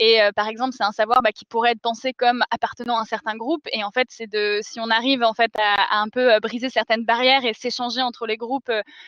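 Over a quiet background, a woman speaks at a very fast pace and a fairly high pitch. Her intonation is monotone and flat, and the sound is dry with no echo. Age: 20s. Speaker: climate activist, architect; panel member. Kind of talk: panel discussion. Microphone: video call.

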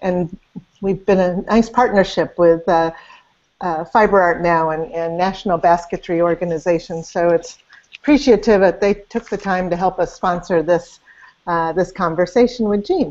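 With ordinary pitch variation, a woman speaks at a moderate pace. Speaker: interview host. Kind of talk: interview introduction. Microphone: video call.

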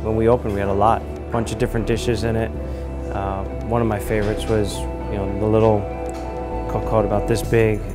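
A man talks at a very fast pace. Music plays clearly behind him. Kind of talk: interview answer. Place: cafe. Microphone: lapel.

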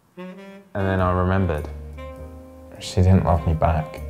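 A man's very deep, low voice at a moderate pace, with clear music in the background. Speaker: stand-up comedian. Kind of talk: comedic monologue to camera.

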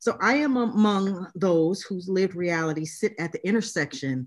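A woman's fairly low-pitched voice with lively intonation, at a moderate pace against a quiet background. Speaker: literacy studies professor. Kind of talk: academic talk reading from notes. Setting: video call. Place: home room. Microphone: video call.

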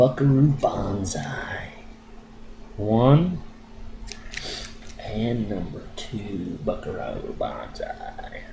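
A man speaks over noticeable background noise. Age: 40s. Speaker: comic book collector. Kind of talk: casual talk to camera. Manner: whispered.

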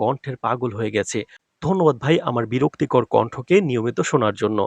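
A man's plain, everyday voice at medium pitch, ordinary pitch variation, and a dry, close sound with no echo. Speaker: YouTube drama trailer analyst. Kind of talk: commentary on a TV trailer with comment replies.

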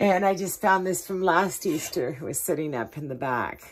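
There is vocal fry in this woman's speech. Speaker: home vlogger. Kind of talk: casual vlog chat. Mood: cheerful, relaxed. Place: kitchen. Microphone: phone near.

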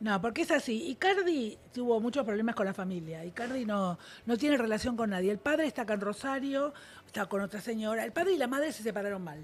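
Her speech races along at a very fast pace with lively intonation. The woman's voice is somewhat breathy and fairly high in pitch. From Argentina. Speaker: showbiz gossip panelist; panelist. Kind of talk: casual panel chat. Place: studio. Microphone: studio mic.

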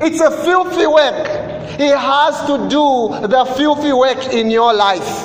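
Over noticeable background noise, a man speaks at a very slow pace with extremely high pitch. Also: ordinary pitch variation. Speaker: preacher. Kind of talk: sermon. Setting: church. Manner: animated; call-and-response with congregation.

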